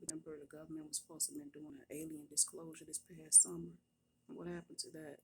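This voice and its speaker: Whispering at a very fast pace, a woman's voice shows big swings in loudness. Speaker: nurse and prophetess. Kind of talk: casual testimony. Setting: at work. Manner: animated.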